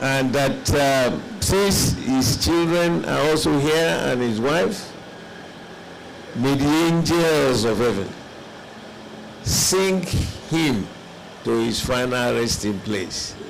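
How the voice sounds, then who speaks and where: Amid noticeable background noise and audible room echo, a man with a medium pitch speaks at a very slow pace, using long, frequent pauses, very even loudness and lively intonation. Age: 70s. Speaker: elder statesman, conference delegate. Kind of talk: formal speech at a conference.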